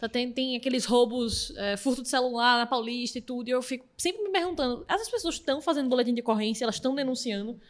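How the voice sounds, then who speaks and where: Talking at a very fast pace with hardly any pauses, a woman uses a high pitch and ordinary pitch variation. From Pernambuco, Recife. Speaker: podcast host. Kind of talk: interview.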